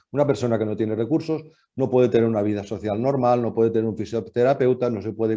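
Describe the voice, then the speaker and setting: This man talks at a very fast pace in a medium pitch, with a dark, mellow tone and fairly even intonation. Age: 60s. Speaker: foundation president. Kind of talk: panel discussion remarks. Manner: halting, many fillers.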